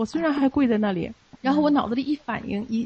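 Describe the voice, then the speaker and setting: Noticeable background noise under very fast talking with ordinary pitch variation. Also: woman. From Beijing, China. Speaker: Falun Gong practitioner. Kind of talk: personal testimony. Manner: halting, with many fillers.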